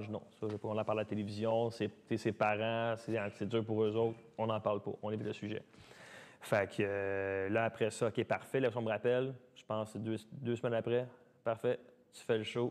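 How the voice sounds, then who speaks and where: A man with a Quebec accent talks at a fairly quick pace with a medium pitch. His intonation is monotone and flat, but his loudness swings widely. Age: 30s. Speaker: dancer and dance studio owner. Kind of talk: casual interview. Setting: podcast studio. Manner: fast, talkative.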